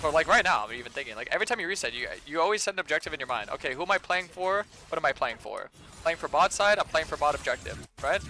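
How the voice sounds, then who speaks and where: Over music in the background, a man talks at a very fast pace with a high pitch and lively intonation. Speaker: game streamer. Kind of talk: live gameplay commentary with chat. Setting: live stream. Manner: hesitant, many fillers and repetitions.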